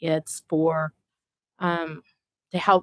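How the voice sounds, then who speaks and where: With an American accent, a woman speaks in a fairly low voice. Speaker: citizen committee member. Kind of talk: public meeting remarks. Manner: loud.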